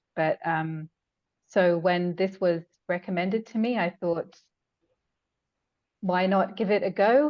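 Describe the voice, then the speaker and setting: A woman speaks with an English accent at medium pitch and ordinary pitch variation. Her pace is fairly slow, with long, frequent pauses. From England. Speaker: hypnotherapy client. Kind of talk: testimony. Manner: halting, many fillers.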